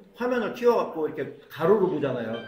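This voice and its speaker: Pitch swings very widely as a man talks at a fairly quick pace. Noticeable background noise and audible room echo are present. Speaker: smartphone skills instructor. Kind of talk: classroom lecture. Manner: fast.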